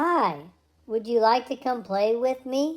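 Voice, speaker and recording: A woman puts on a character voice with a high pitch and a fairly slow pace. The recording is very clean, with a silent background. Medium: read story.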